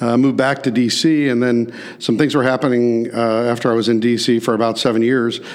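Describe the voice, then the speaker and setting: Speaking at a fairly quick pace, a man with a Midwestern American accent uses monotone, flat intonation at a medium pitch. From US Midwest, St. Louis. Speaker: restaurant chain executive. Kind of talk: interview. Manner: hesitant fillers.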